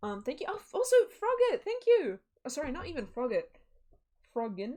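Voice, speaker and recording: This woman's extremely high voice has a dark, mellow tone and very wide pitch swings. She talks at a fairly quick pace with an American accent. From New Zealand. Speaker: streamer. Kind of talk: casual chat. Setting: live stream. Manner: animated.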